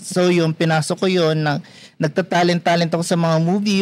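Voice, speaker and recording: The speaker is a man with a high pitch. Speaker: security guard and freelance talent. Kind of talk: casual interview chat.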